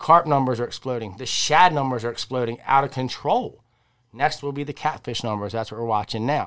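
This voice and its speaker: Speaking fairly quickly with a Maryland accent, a man at medium pitch uses ordinary pitch variation and big swings in loudness, on a very clean recording with a silent background. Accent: Mid-Atlantic American (Maryland). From Maryland, Harford County. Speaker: fishing podcast co-host. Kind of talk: casual chat. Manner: animated.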